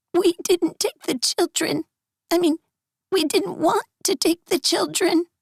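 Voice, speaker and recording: Quiet and extremely high-pitched, a put-on character voice speaks at a fairly slow pace. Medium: read story. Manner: hushed, hesitant.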